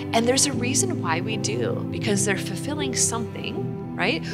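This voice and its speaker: A woman speaking at a moderate pace over loud music in the background. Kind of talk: spiritual teaching talk. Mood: warm, earnest. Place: church.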